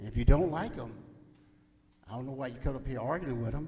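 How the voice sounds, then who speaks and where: The man's voice has a medium pitch. Audible room echo surrounds it. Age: 70s. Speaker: public commenter at council meeting. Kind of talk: public comment speech. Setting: city council chamber. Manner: animated.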